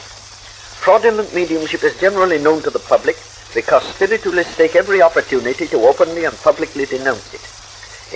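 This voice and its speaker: A man at a fairly quick pace amid noticeable background noise. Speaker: spiritualist leader and editor. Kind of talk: radio talk. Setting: vintage radio broadcast recording.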